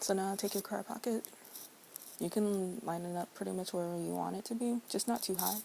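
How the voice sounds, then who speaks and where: A soft-spoken woman talks at a moderate pace in a medium pitch, her tone dark and mellow and her intonation fairly even. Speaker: crafts tutorial maker. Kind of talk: tutorial.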